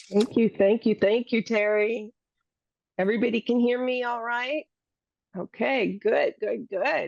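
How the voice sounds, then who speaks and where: Pausing long and often, a woman with a fairly high pitch speaks at a fairly slow pace with fairly even intonation, in a dry, close sound with no echo. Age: 60s. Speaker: psychotherapist for seniors. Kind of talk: talk to a church group. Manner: halting.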